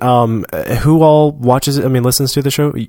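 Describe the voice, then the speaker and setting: A man with an American accent speaks in an ordinary speaking voice at a medium pitch, fairly quickly and with fairly even intonation. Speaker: podcast co-host. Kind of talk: casual chat. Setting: live broadcast, same room as co-host.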